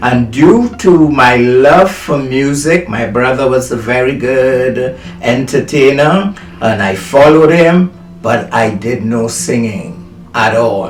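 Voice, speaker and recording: Over music in the background, a man speaks at a medium pitch and a very slow pace. His intonation is lively, and the room echo is audible. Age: 70s. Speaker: motivational speaker. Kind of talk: testimony. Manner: halting.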